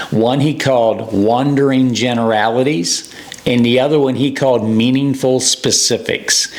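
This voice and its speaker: A man at medium pitch talks at a moderate pace with very even loudness and fairly even intonation, against noticeable background noise. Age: 60s. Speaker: youth baseball coach. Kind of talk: coaching advice talk to camera. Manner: conversational, with many fillers.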